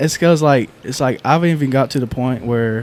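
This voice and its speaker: Moving at a fairly quick pace, a man with a North Carolina accent speaks at medium pitch with fairly even intonation. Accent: Southern North Carolina. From North Carolina, Lumberton. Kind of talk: casual chat.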